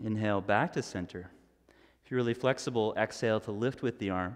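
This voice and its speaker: Calm in tone, a man talks at a fairly quick pace with fairly low pitch and ordinary pitch variation against a quiet background. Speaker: yoga instructor. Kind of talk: guided yoga class, cueing poses and breath. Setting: streaming live from a yoga studio. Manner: instructional, calm and steady, with a brisk rhythmic cadence. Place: home room.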